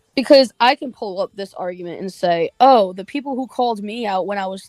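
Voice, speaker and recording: Music plays behind a woman of medium pitch, her voice dry and close with no echo. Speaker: online commentator. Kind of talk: livestream rant. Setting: livestream. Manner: monotone.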